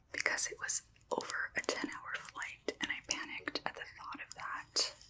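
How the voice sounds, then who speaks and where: A woman whispers at a moderate pace, her volume swinging widely, with noticeable background noise behind her. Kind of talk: casual talk to camera, show and tell. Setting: close microphone, ASMR recording. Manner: whispered, soft-spoken.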